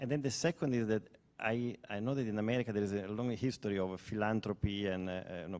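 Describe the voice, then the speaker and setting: A man with an Italian accent talks at a very fast pace. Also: fairly low pitch for a man, ordinary pitch variation, very clean recording, silent background. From Italy. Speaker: audience member asking a question. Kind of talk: audience question. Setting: lecture hall with audience. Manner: halting, repeats words.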